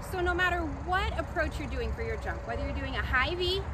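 A woman talks at a moderate pace over loud background noise. The sound is dry, with no echo. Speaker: cheer instructor. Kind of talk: tutorial. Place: open country.

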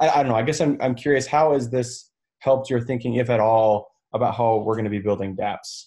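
A man talks at a fairly quick pace in a dark, mellow tone. His pitch variation is ordinary, and the background is quiet. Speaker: team lead hosting a company update. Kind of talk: team meeting demo update. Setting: video call. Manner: enthusiastic.

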